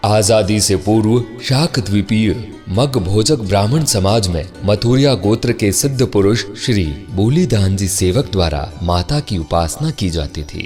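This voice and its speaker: Music plays in the background as a man speaks. His pitch is fairly low and his intonation lively. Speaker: voice actor; radio jockey. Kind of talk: documentary narration.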